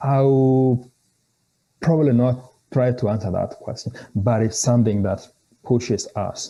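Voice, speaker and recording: Somewhat breathy and dark, mellow in tone, a man at medium pitch speaks at a fairly slow pace with fairly even intonation and long, frequent pauses. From Kenya. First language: a Kenyan language. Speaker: theology scholar. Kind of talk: interview conversation. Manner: halting, with frequent repetitions.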